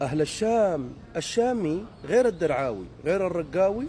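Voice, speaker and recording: A man with a high pitch sounds animated, his voice making very wide pitch swings. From Deir ez-Zor, eastern Syria. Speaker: social media commentator. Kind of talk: comedic rant monologue. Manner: animated, mimicking regional dialects.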